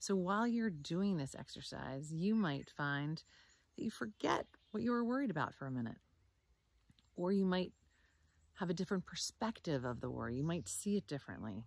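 A woman's fairly low voice with a calm, soothing tone, very wide pitch swings and long, frequent pauses, in a dry sound with no echo. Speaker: meditation teacher. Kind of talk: guided meditation, calm instructions. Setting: video recording outdoors. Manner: slow, soothing, gentle; calm and measured, with long pauses. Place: forest. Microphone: phone near.

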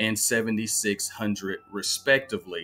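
A man's voice with ordinary pitch variation, faint music in the background. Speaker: fantasy sports analyst. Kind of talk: commentary. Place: home room. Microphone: webcam.

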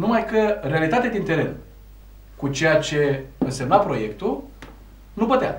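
A high-pitched man at a very slow pace with long, frequent pauses, audible room echo and light background noise. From Romania. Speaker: TV talk show host. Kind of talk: TV interview. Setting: TV studio. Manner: hesitant, many filler sounds. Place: studio.

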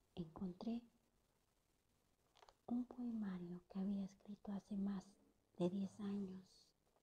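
A woman whispering, somewhat breathy, at a very slow pace with long, frequent pauses. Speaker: poet. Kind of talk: ASMR poetry reading. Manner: whispered.

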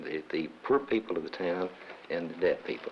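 With light background noise behind him, a man speaks at a moderate pace in a Southern US accent. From Arkansas. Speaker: retired businessman, former chamber of commerce president. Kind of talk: interview.

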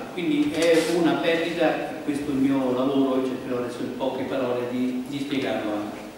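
Amid light background noise and strong room echo, a man talks at a moderate pace with fairly even intonation. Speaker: organic farming association coordinator. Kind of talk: conference talk. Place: hall. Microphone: podium.

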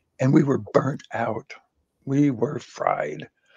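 Over a quiet background, a man speaks with monotone, flat intonation. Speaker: guest. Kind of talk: interview answer, storytelling. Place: home room. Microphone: video call.

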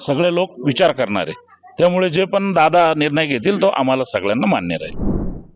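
A man talks with lively intonation at a fairly high pitch. Noticeable background noise runs underneath. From Nashik district, Maharashtra. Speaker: aspiring election candidate. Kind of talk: street interview.

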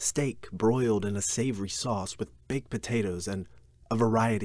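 Pitch shifts in an ordinary way here. The delivery is an unforced reading voice.

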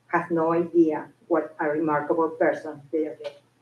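A woman speaks with a non-native accent at a fairly low pitch. Her tone is dark and mellow, and her pace moderate. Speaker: school secretary. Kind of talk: prepared tribute speech.

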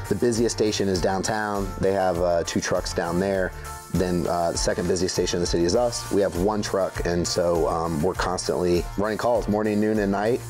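A man speaks at a moderate pace with a very deep, low pitch, ordinary pitch variation and very even loudness, while clear music plays in the background. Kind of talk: interview answer. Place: garage.

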